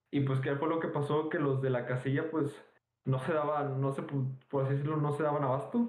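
A man talks at a moderate pace in a fairly high pitch. His loudness stays very even and his intonation fairly even. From Mexico, Nuevo León. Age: young. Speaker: podcast co-host. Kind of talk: casual chat. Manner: halting, many fillers.

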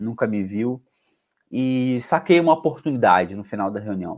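A man talks at a moderate pace and medium pitch. The recording is very clean, with a silent background. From Brazil, Rio de Janeiro. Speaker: podcast host, salesperson. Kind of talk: interview conversation. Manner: casual, enthusiastic.

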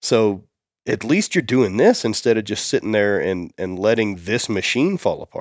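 A man's plain, everyday voice, medium in pitch with ordinary pitch variation, at a moderate pace. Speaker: strength athlete. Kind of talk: casual chat. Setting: studio.

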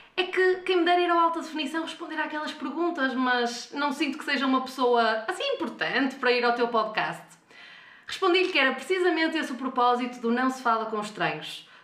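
A woman speaks at a high pitch and a fairly quick pace. Her intonation is lively, and audible room echo surrounds her voice. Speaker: podcast host. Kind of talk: interview.

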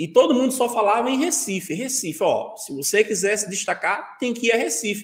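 A man's high-pitched voice at a fairly quick pace, with lively intonation. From Brazil, Pernambuco interior. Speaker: Photoshop instructor. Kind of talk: live-stream interview; software tutorial.

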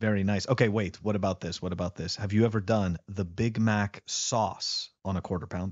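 A man talks at a fairly quick pace with a fairly low pitch. His intonation is fairly even, in a plain, everyday voice. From Canada. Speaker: podcast co-host. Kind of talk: casual chat.

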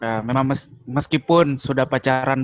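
Dry, close sound with no echo from a man with medium pitch and a fairly slow pace. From Makassar, South Sulawesi, Indonesia. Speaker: married man, guest.

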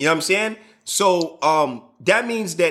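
An animated tone comes through on a very clean recording with a silent background. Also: man. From Chicago. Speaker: podcast host and DJ. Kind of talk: casual chat.

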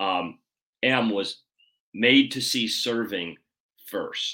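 The background is silent in this very clean recording. A man does the talking. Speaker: podcast host. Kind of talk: casual interview chat.

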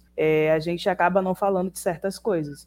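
Her voice is a plain, everyday voice, a woman's at fairly low pitch with fairly even intonation. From Pojuca, Bahia, Brazil. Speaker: podcast co-host, student and writer. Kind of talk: casual chat.

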